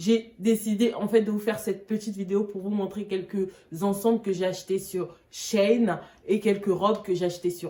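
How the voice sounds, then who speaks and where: Her pitch sits at a medium level for a woman, and her pace is moderate. She speaks in a monotone with flat intonation. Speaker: fashion YouTuber. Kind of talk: try-on haul vlog.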